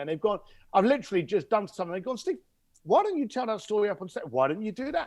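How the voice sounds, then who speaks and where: Speaking with a Cockney accent, a man sounds animated, his intonation lively. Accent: London Cockney English. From East London, England. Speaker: connector to wealthy clients, speaker and author. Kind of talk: podcast interview. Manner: animated storytelling.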